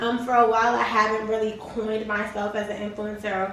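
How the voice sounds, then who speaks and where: A woman speaks in a strong New York accent with an animated tone. Audible room echo and noticeable background noise come through. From New York City (Harlem). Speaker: entrepreneur and online community leader. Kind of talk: casual vlog chat to camera.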